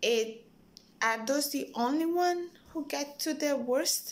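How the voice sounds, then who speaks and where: A woman speaks at a very slow pace in an Italian accent. Her intonation is lively. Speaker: hospital worker. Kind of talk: personal video message. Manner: hesitant, many fillers.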